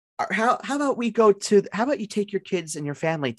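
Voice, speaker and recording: In a dry, close sound with no echo, a man with a high pitch makes very wide pitch swings. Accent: New York. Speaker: fantasy football podcast co-host. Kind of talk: casual chat. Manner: repeats words, stammering restarts.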